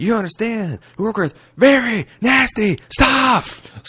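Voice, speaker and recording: A man shouts in a put-on character voice with a high pitch. He goes at a fairly slow pace with lively intonation. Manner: shouting.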